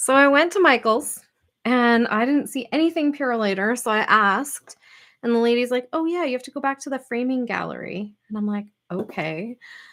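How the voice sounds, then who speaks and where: In a very clean recording with a silent background, a woman with a Canadian accent speaks at a moderate pace in a high voice with lively intonation. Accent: Canadian, strength unsure. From Canadian prairies. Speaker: scrapbooking YouTuber. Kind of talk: casual live stream chat. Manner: chatty, filler-heavy.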